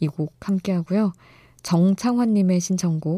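A woman's somewhat breathy voice with a dark, mellow tone moves at a moderate pace with ordinary pitch variation, in a dry, close sound with no echo on a very clean recording with a silent background. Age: 30s. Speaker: radio DJ. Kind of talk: late-night radio show. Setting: studio.

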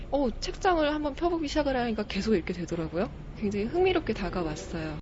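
A woman's voice comes with audible room echo. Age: 20s. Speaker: aspiring news announcer and stage MC. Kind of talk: book recommendation.

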